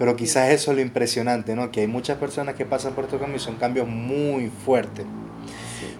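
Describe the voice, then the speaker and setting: Over noticeable background noise, a man talks at a fairly quick pace. His medium-pitched voice is monotone, with flat intonation. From Venezuela. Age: 20s. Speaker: podcast host. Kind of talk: casual interview.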